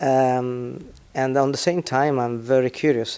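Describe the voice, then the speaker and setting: The speaker has an Italian accent. He is a man. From Italy. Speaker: business executive. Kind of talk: interview. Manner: halting.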